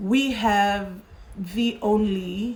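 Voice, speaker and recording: There is noticeable background noise and audible room echo. Through it a woman speaks with fairly even intonation. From Fiji. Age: 40s. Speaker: current affairs host. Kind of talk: live social media talk show. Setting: livestream on social media.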